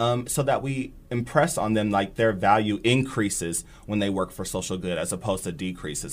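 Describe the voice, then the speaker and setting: In an American accent, this is an unremarkable speaking voice at a moderate pace with ordinary pitch variation. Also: man. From Nebraska, Bellevue. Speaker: community organizer. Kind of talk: interview. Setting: studio.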